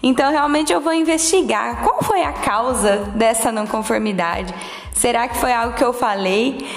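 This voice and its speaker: Over noticeable background noise and audible room echo, a woman with a high pitch speaks fairly slowly with lively intonation. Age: 20s. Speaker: quality management specialist. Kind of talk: solo podcast monologue.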